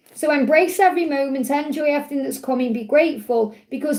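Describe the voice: With audible room echo, the voice moves at a fairly quick pace in a slightly mellow tone with ordinary pitch variation. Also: woman.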